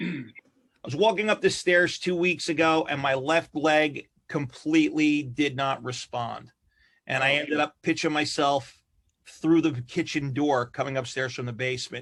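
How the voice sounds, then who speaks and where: A man with a fairly high pitch and ordinary pitch variation speaks at a moderate pace in a very clean recording with a silent background. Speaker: comedian. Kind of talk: podcast guest telling a story.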